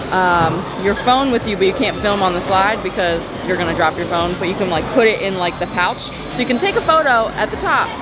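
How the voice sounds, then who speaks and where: Over clear background music, a woman talks at a fairly quick pace in a dry recording with no echo. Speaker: travel vlogger. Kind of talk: casual vlog chat. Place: boat. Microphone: phone near.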